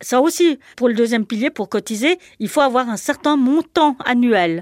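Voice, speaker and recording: A woman's ordinary speaking voice, an ordinary speaking voice with lively intonation, recorded dry and close with no echo in a very clean recording with a silent background. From Switzerland. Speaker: former cleaner and childminder. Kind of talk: testimony.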